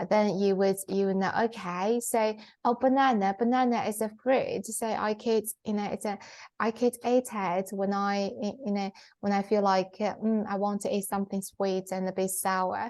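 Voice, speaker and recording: A woman with a Chinese accent speaks at a moderate pace and medium pitch over a quiet background. Her intonation is monotone and flat. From China. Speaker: podcast co-host. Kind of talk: casual chat. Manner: halting, many fillers.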